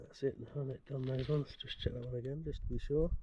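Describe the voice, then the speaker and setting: A man in a British accent talks at a moderate pace. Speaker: bikepacking vlogger. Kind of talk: casual vlog narration. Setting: outdoors, cycling on the road.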